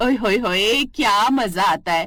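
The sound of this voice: A woman's cartoonish character voice, slow, with lively intonation and a bright, sharp tone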